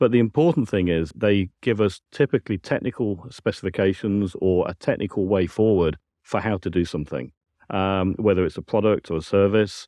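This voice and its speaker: A man with a British accent speaks at a fairly low pitch and a fairly quick pace, with ordinary pitch variation. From UK. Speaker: science and technical director. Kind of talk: interview. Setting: conference venue.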